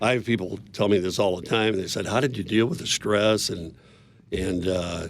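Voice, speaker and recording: Pitched fairly low, a man talks at a moderate pace with fairly even intonation. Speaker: business owner. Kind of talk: interview. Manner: loud.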